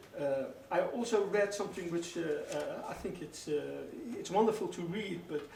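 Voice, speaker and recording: A man speaks with a Dutch accent. Audible room echo and noticeable background noise fill the recording. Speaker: radio host. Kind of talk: radio interview. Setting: radio studio. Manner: halting, many fillers.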